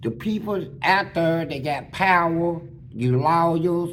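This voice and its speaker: Some room echo can be heard as a man speaks at a fairly high pitch with ordinary pitch variation. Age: 60s. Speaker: former prisoner telling his life story. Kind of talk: storytelling interview. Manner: animated.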